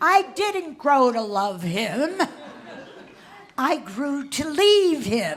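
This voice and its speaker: Speaking at a very slow pace over noticeable background noise, a woman with a high pitch makes very wide pitch swings. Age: 80s+. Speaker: comedian and cabaret artist. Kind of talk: stand-up comedy on stage. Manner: saucy, witty.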